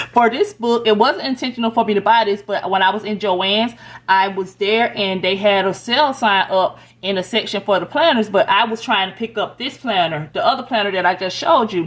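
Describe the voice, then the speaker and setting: At a moderate pace, a woman talks in a normal speaking voice at medium pitch with ordinary pitch variation. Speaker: lifestyle vlogger. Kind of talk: planner walkthrough tutorial. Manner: casual, chatty.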